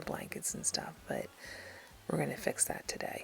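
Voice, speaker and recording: There is noticeable noise in the background. Over it, a woman whispers at a moderate pace. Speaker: lifestyle vlogger. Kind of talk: voiceover narration. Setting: at home. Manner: whispering.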